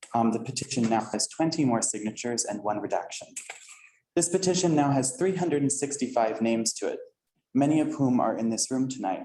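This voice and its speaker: An unremarkable speaking voice from a man at a medium pitch, with ordinary pitch variation and a fairly quick pace. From northern New Jersey, US. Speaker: resident speaking at public comment. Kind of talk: public comment at council meeting. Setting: council meeting room with audience.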